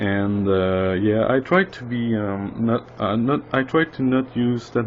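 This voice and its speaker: A man with a non-native accent, medium pitch and ordinary pitch variation, at a fairly slow pace. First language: not English. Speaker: indie game developer. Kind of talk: casual tutorial monologue. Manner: halting, many fillers.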